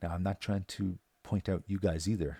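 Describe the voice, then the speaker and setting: A man with a Newfoundland accent speaks in a dark, mellow tone at a fairly quick pace with fairly even intonation. The sound is dry and close with no echo. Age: 40s. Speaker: local resident vlogger. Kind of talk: scripted monologue. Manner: halting.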